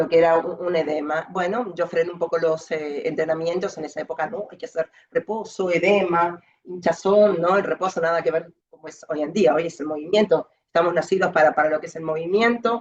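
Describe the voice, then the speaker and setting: A woman speaks fairly quickly with hardly any pauses, at a fairly low pitch. Her intonation stays fairly even while her loudness swings a lot. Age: 50s. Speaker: patient with lymphedema, physical education teacher. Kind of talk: testimony. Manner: fast.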